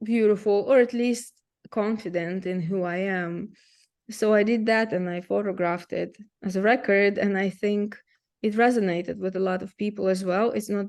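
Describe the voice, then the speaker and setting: A woman speaks in a Russian accent with fairly even intonation. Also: medium pitch for a woman, moderate pace. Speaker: photographer. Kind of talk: presentation. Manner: halting.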